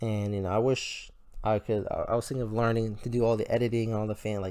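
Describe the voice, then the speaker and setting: Mumbled speech in a dark, mellow tone at a fairly quick pace, on a very clean recording with a silent background. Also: man. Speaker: gaming video creator. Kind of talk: gameplay tutorial commentary. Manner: stuttering, mumbling; casual, rambling with fillers.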